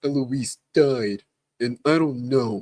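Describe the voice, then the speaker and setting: Using a put-on character voice, a man talks at a medium pitch. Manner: mimicking.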